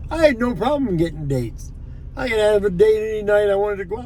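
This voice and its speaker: The speaker's pitch swings very widely at a moderate pace. Noticeable background noise and audible room echo fill the recording. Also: man. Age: 60s. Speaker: vlogger. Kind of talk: casual monologue vlog. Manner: halting, repetitive.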